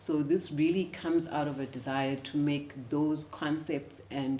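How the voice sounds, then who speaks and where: A woman with a South African accent has a very deep, low pitch. She speaks at a fairly slow pace with ordinary pitch variation. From South Africa, Eastern Cape (former Transkei). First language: isiXhosa. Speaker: finance professional and educator. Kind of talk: interview. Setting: studio. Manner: hesitant, many filler words.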